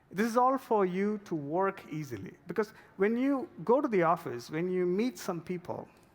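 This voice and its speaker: A man with a non-native accent talks at a moderate pace with hardly any pauses. His pitch is high and his intonation lively. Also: very clean recording, silent background. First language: not English. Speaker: product manager. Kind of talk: conference talk. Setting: stage with audience.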